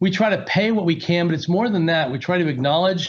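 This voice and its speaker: He speaks with an American accent and a high pitch. His pitch varies in an ordinary way. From US Pacific Northwest (Seattle), teens in Las Vegas. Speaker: company executive, guest speaker. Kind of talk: guest lecture. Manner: conversational, filler-heavy.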